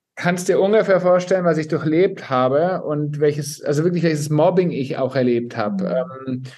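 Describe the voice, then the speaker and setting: A man with a plain, everyday voice speaks at a moderate pace and fairly high pitch. His pitch varies in an ordinary way, with hardly any pauses. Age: 40s. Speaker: flight attendant and influencer. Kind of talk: personal testimony.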